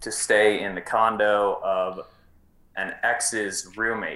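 At a very slow pace, a man talks in a fairly low pitch with a bright, sharp tone, and the room echo is audible. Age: 20s. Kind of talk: casual chat.

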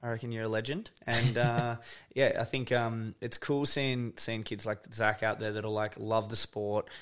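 With an Australian accent, a man speaks at a medium pitch and a moderate pace. His intonation is monotone and flat, on a very clean recording with a silent background. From Tasmania, Australia. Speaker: photographer and video director. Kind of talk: casual chat. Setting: home studio.

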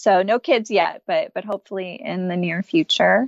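A woman with an American accent talks at a moderate pace in an ordinary speaking voice. Her pitch is medium, and the sound is dry and close with no echo. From Texas. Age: 30s. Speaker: guest sharing recovery story. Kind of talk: interview, personal story.

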